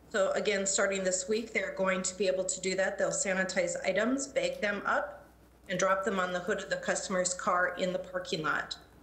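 A woman talks at a moderate pace with fairly even intonation, and audible room echo surrounds her voice. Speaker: city council member; council member. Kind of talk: formal public meeting. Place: home room. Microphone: video call.

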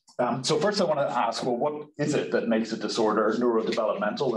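A man talks at a fairly quick pace. Audible room echo and light background noise can be heard. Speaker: presenter. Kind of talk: lecture. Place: office. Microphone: webcam.

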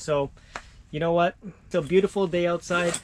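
Noticeable background noise sits under the voice. A man talks at a fairly quick pace with fairly even intonation. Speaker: fishing vlogger. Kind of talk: casual vlog chat. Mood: cheerful despite no catch. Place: tent. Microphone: phone near.

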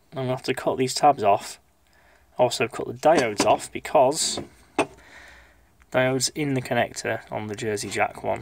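Against noticeable background noise, a man speaks at a moderate pace with fairly even intonation in a dry sound with no echo. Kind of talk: repair tutorial. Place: workshop. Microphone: phone near.

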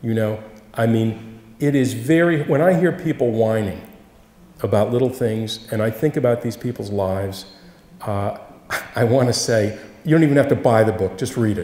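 The man has a dark, mellow tone with ordinary pitch variation. He speaks at a moderate pace, with audible room echo. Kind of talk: Q&A answer at a public talk. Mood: warm, earnest, reflective. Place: church.

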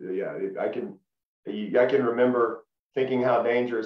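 A man speaks with a Tennessee accent against a quiet background, with audible echo in the room. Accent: Southern US (Tennessee). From Middle Tennessee (Lebanon). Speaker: former college football player; interview guest. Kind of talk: casual interview. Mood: relaxed, friendly reminiscing. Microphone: video call.

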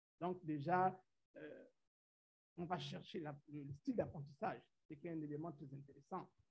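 A man with a Central African accent talks fairly slowly, pausing long and often. His loudness swings a lot, while his pitch varies in an ordinary way. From Gabon. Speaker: science teacher. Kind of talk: conference presentation. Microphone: video call.

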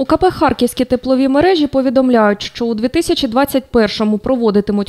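A woman speaks at a high pitch and a moderate pace with ordinary pitch variation. The sound is dry and close with no echo. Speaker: TV news reporter. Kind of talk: news report voiceover.

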